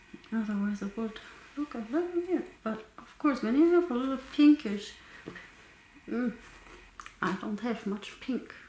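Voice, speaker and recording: A soft-spoken woman with a high pitch and lively intonation talks at a fairly slow pace, with big swings in loudness. Long, frequent pauses and noticeable background noise come through too. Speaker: crafting YouTuber. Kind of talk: tutorial. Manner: soft-spoken, quiet.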